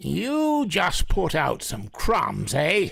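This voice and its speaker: The man adopts a put-on character voice pitched high. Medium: audio drama. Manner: blunt, scoffing.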